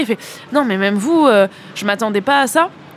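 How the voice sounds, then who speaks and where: Noticeable background noise sits behind a woman with fairly high pitch. She talks at a very fast pace with lively intonation. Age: 20s. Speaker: local politician. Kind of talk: interview.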